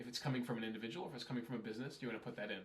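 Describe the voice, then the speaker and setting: Audible room echo surrounds a man who speaks in an American accent, somewhat breathy, at medium pitch. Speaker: email marketing consultant. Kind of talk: tutorial. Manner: casual, conversational.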